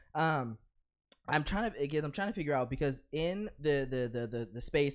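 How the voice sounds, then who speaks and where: At a moderate pace, a man talks in an unremarkable speaking voice with ordinary pitch variation. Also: quiet background. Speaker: podcast co-host. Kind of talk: casual chat.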